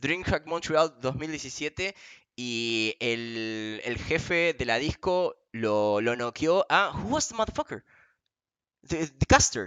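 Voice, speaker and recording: A man with an Argentine accent speaks at a fairly slow pace in a medium pitch, his intonation lively. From Argentina. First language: Spanish. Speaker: esports interviewer. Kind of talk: bilingual interview.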